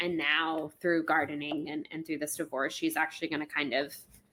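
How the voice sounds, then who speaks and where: In an American accent, a woman speaks with a very deep, low pitch and a bright, sharp tone. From Florida. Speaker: podcast co-host. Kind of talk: casual chat. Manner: fast.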